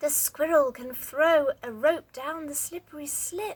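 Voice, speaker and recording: The speaker uses a put-on character voice. It is quiet and comes at a fairly slow pace. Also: woman, high pitch for a woman. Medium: read story. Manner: hushed, secretive.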